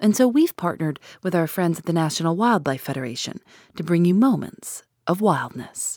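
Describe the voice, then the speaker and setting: The voice is a normal speaking voice with lively intonation and a fairly quick pace. The recording is very clean, with a silent background. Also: woman, fairly low pitch for a woman. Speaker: podcast host. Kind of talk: scripted narration.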